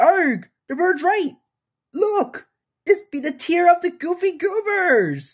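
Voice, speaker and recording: A man in a put-on character voice, extremely high in pitch, at a fairly slow pace. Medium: dub.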